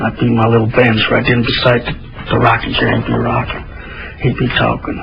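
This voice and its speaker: With noticeable background noise behind him, a man of medium pitch with an American accent speaks at a fairly quick pace in a fairly even intonation. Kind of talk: interview testimony.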